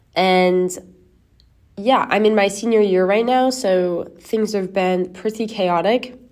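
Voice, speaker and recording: At a very slow pace, a woman with a medium pitch keeps a very even loudness and fairly even intonation. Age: 20s. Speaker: podcast host and college swimmer. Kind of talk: casual solo chat. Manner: laughing often; filler-heavy, rambling.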